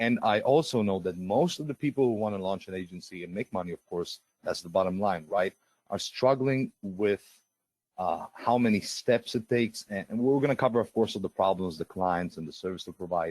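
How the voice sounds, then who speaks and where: This man has a fairly low voice and a Russian accent, talking at a fairly quick pace. His pitch varies in an ordinary way, and the sound is dry and close with no echo. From Israel. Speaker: webinar presenter. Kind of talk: live sales webinar. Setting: live online webinar. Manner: halting, many filler sounds.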